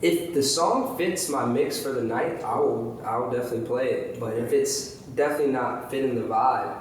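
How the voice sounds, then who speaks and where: A man talks with hardly any pauses amid audible room echo and noticeable background noise. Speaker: DJ. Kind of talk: casual interview. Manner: fast.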